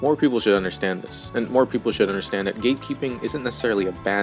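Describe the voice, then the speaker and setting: Over background music, a man with a fairly low pitch speaks with ordinary pitch variation. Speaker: video essayist. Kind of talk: video essay narration.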